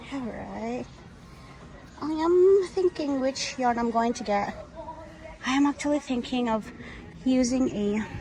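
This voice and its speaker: The speech is mumbled, fairly slow and broken by long, frequent pauses. Noticeable background noise is present. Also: woman, high pitch for a woman, lively intonation. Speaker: crochet vlogger. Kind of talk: casual shopping vlog. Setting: in a store. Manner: mumbling.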